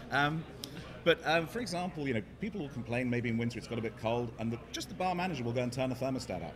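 Noticeable background noise sits behind a man speaking. He goes very fast with lively intonation. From England. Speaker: startup CEO. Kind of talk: interview. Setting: conference floor with background noise. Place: hall.

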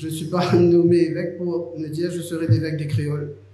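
Speaking at a fairly slow pace, a man with a high pitch is heard with audible room echo. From Mauritius. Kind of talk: press interview. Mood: calm, reflective. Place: meeting room. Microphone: handheld.

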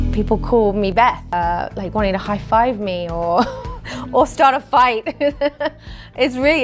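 Over clear background music, a woman talks at a moderate pace with lively intonation. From England. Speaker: actress. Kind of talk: interview answer. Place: home room.

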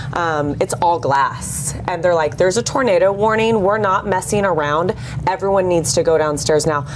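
A woman with a Texan accent speaks at a moderate pace in a fairly low pitch, her tone animated and her pitch variation ordinary. Her loudness stays very even while noticeable background noise runs behind her. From Fort Worth, Texas; Texas. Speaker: morning TV co-host. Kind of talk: casual chat. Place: studio.

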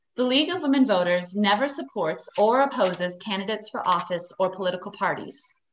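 Over light background noise, a woman talks at a fairly quick pace with hardly any pauses. Her voice sits at a medium pitch, and her intonation is lively. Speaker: civic organization chair. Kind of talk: formal scripted welcome. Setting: video call. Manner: formal. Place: home room. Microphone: video call.

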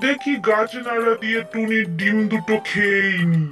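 A cartoonish character voice plays over clear music in the background. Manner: gloating, sly, laughing.

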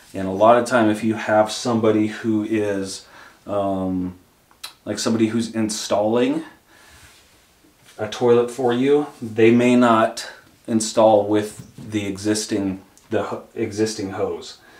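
Amid audible room echo, a man with a fairly low pitch talks at a fairly slow pace in monotone, flat intonation, with long, frequent pauses. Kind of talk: tutorial. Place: bathroom. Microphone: camera far.

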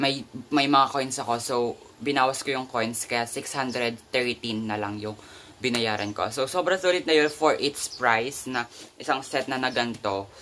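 Light background noise behind a man's moderate pace and ordinary pitch variation. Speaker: vlogger. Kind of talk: casual vlog chat. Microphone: phone near.

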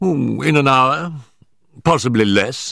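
A man in a put-on character voice speaks slowly with a bright, sharp tone, vocal fry and lively intonation, on a very clean recording with a silent background. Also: medium pitch for a man.

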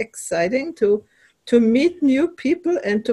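A woman's lively intonation at a fairly slow pace, with music in the background. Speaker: host of an online conversation group. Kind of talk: casual personal story in a group call. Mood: excited, warm. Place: home room. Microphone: headset.

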